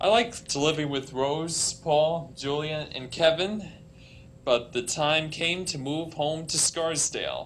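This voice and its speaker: A man speaks at a very slow pace. His pitch is fairly high, with light background noise. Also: ordinary pitch variation. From US Northeast, New York; US Northeast. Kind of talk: prepared speech. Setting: conference stage with audience. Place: hall. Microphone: podium.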